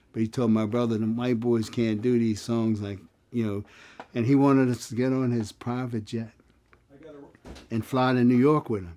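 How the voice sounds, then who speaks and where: A medium-pitched male voice with an American accent and a dark, mellow tone, monotone, flat intonation, a moderate pace and long, frequent pauses. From western Pennsylvania (Aliquippa, near Pittsburgh). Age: 70s. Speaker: songwriter and retired educator. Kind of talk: interview reminiscence.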